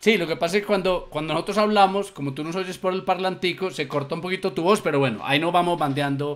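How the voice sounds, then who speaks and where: At a very fast pace, a man speaks in a high, sing-song voice with lively intonation. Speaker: show co-host. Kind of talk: live talk show. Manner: sing-song intonation.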